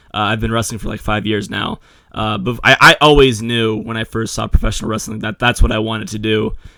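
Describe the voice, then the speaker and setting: In a plain, everyday voice, a man talks at a fairly quick pace and medium pitch, his intonation fairly even while his loudness swings widely. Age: young. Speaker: podcast host and wrestler. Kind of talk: interview.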